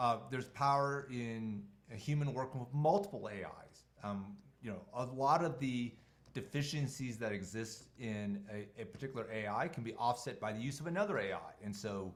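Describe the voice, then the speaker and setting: Moderate pace from a man at medium pitch, with ordinary pitch variation and audible room echo. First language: not English. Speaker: tech company co-founder and CEO leading a webinar. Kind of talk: online webinar presentation with Q&A. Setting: video call.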